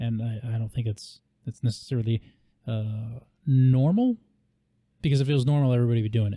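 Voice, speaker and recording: A man with a dark, mellow tone and medium pitch talks at a very fast pace, yet with long, frequent pauses. His voice is somewhat breathy, his intonation fairly even, and the sound dry and close with no echo. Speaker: podcast host. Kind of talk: casual interview chat.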